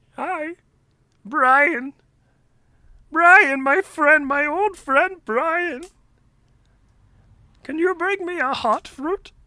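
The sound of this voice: A put-on character voice speaks at a high pitch and a very slow pace. Long, frequent pauses break up the delivery.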